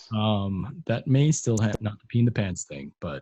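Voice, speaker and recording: With a fairly low pitch and a dark, mellow tone, this man talks at a moderate pace, his voice somewhat breathy and his pitch swinging very widely. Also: dry, close sound with no echo. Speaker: podcast co-host being interviewed. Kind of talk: casual interview chat. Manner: hesitant, many fillers.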